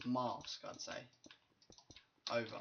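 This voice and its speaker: Speaking fairly slowly, a man talks in a British accent. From Britain. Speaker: gaming YouTuber. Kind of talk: casual gameplay commentary. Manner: casual, profane.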